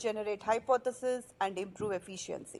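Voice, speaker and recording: A woman speaks at a moderate pace with a non-native accent. Her pitch varies in an ordinary way. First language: not English. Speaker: research mentoring founder. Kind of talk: interview. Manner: halting, with false starts.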